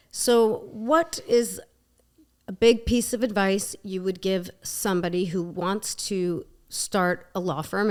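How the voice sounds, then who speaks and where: A woman talks with a New Jersey accent. Her intonation is fairly even. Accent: New Jersey American English. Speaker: podcast host and lawyer. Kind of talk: podcast interview.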